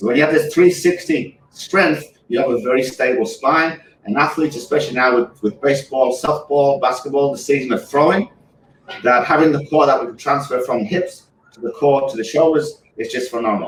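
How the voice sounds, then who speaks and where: The pitch shifts in an ordinary way during rather brisk talk. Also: man, fairly high pitch for a man. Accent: English. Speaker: physical therapist. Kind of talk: product demonstration.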